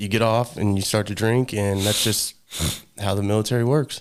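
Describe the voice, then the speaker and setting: In an American accent, a man speaks at a fairly quick pace with a fairly low pitch and monotone, flat intonation, in a very clean recording with a silent background. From small-town United States. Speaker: military veteran. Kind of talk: testimony. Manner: halting.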